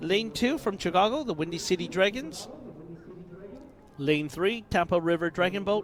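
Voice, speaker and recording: Noticeable background noise surrounds a man whose high voice breaks into long, frequent pauses. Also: ordinary pitch variation, moderate pace. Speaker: race announcer. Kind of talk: live sports commentary. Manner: loud.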